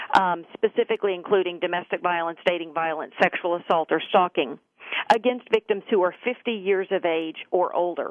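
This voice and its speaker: A woman with a Texas accent, at a fairly quick pace and with ordinary pitch variation. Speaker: government official, former prosecutor. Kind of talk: interview.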